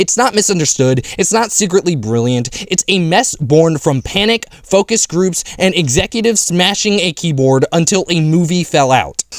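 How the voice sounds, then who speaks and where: Shouting at a high pitch with lively intonation, a man keeps a moderate pace with hardly any pauses, the sound dry and close with no echo but with noticeable background noise. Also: very even loudness. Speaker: film reviewer. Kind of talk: angry rant. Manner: loud, screaming.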